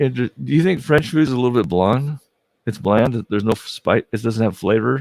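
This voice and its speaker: A man with an unremarkable speaking voice talks at a fairly quick pace and medium pitch with lively intonation, in a very clean, dry, close recording with a silent background and no echo. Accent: American. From United States. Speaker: podcast host. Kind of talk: casual podcast interview.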